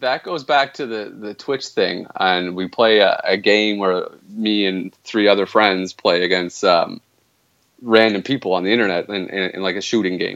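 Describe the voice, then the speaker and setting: A man's fairly low voice with a Canadian accent. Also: ordinary pitch variation, moderate pace. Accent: Canadian, noticeable to others. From Canada. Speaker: video game streamer. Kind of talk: casual interview. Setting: remote call-in.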